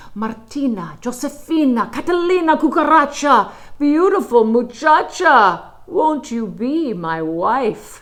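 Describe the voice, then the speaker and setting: A woman's put-on character voice in a Spanish accent, high-pitched, fairly slow, with hardly any pauses. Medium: read story. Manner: pompous, self-admiring.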